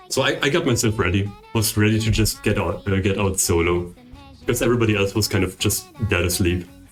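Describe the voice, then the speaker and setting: Someone speaks with a non-native accent at a moderate pace as music plays in the background. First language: not English. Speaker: streamer. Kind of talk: casual chat. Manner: casual, filler-heavy with frequent um and like.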